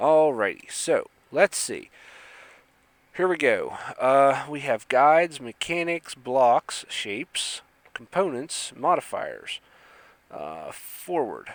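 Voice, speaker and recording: The delivery is very slow, with long, frequent pauses and big swings in loudness. The sound is dry and close with no echo. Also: man. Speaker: gaming YouTuber. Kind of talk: let's play commentary.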